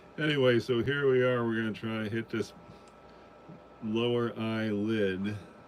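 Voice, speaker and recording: A man's fairly low, monotone voice with flat intonation, at a fairly slow pace amid noticeable background noise. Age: 60s. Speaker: watercolor painting livestreamer. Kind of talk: live painting tutorial. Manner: halting, many fillers; casual, thinking aloud.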